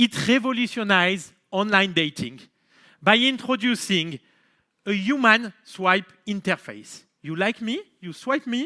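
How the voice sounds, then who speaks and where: A raised, projected voice with a bright, sharp tone and a French accent, very slow in pace, dry and close with no echo, on a very clean recording with a silent background. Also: man. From France, Marseille. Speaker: company founder and CEO. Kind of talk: keynote speech.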